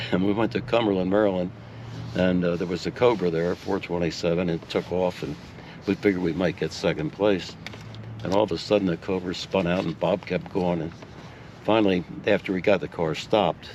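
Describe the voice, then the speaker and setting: Very deep, low male voice at a fairly quick pace, with ordinary pitch variation and noticeable background noise. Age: 80s+. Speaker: retired racing car owner. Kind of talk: interview answer. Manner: storytelling, conversational.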